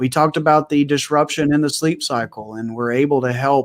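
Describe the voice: Speaking at a moderate pace, a man with a West Texas accent shows ordinary pitch variation. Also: medium pitch for a man.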